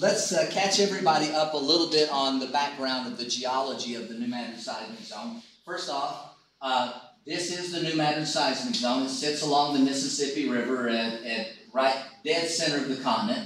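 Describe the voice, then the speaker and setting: Amid noticeable background noise and audible room echo, a man with an American accent talks at a moderate pace with a fairly high pitch and lively intonation. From US South, Eastern Kentucky. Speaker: geology professor. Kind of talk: lecture. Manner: hesitant, many fillers.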